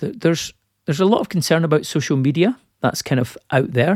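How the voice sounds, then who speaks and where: A man speaks with an ordinary speaking voice and lively intonation. The recording is very clean with a silent background and a dry, close sound with no echo. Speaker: podcast host. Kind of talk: casual chat. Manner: humorous.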